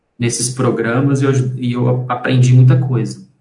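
This man's voice is somewhat breathy and medium in pitch. Room echo is audible. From Brazil, Belo Horizonte (Minas Gerais). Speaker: graphic designer and company partner. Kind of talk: casual interview.

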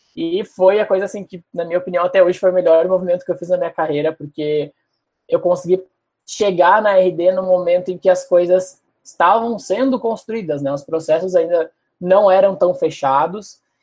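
A man's high voice at a moderate pace. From Porto Alegre, southern Brazil. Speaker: product manager. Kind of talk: casual interview.

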